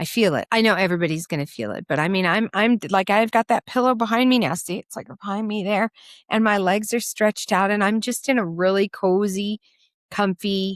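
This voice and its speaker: A woman with a medium pitch and ordinary pitch variation speaks at a fairly quick pace in a dry, close sound with no echo. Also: very clean recording, silent background. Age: 60s. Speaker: podcast co-host. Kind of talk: casual chat.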